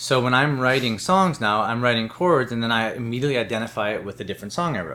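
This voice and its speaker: A man's very fast, nearly pause-free speech in an American accent, at medium pitch with ordinary pitch variation. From Chicago area, US Midwest. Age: 30s. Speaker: rock musician. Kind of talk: casual interview chat.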